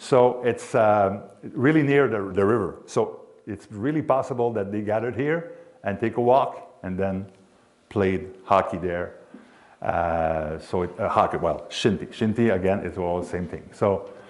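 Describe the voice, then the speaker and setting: Lively intonation from a man with a Quebec accent, fairly low in pitch and at a fairly slow pace. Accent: Québécois French accent in English. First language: French. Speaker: sports announcer and hockey historian. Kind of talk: history presentation. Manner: halting.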